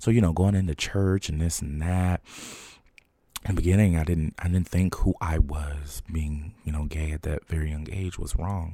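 In a very clean recording with a silent background, a man with an American accent speaks at a moderate pace in a dark, mellow tone with very deep, low pitch and fairly even intonation. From New Jersey, Trenton. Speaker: podcast host. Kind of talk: personal monologue. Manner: hesitant, with filler words.

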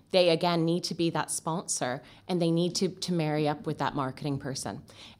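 In a normal speaking voice, a woman talks at a fairly quick pace with a Canadian accent and ordinary pitch variation. Her pitch is fairly low, and the recording is very clean with a silent background. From Canada. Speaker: marketing agency owner. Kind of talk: interview.

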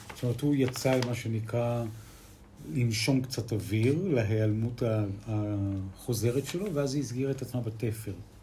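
In a Spanish accent, a man speaks at a fairly slow pace with a medium pitch and ordinary pitch variation, with audible room echo. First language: Spanish (speaking Hebrew). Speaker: podcast co-host. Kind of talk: casual chat.

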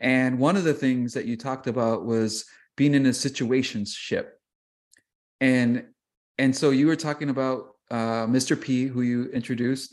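Against a quiet background, a medium-pitched man speaks at a moderate pace with fairly even intonation and long, frequent pauses. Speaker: podcast co-host. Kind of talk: casual chat.

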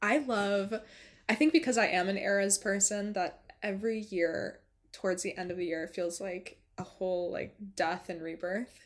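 On a very clean recording with a silent background, a woman with an ordinary speaking voice talks at a moderate pace, with a medium pitch and ordinary pitch variation. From Western New York (rural, near Buffalo). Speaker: podcast host. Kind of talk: solo podcast outro; casual chat.

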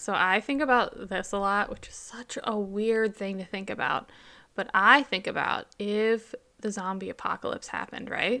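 Loudness swings widely while the pace stays moderate and the intonation fairly even. The tone is bright and sharp, and the recording is very clean with a silent background. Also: woman, fairly high pitch for a woman. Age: 30s. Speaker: podcast co-host. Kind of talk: casual chat.

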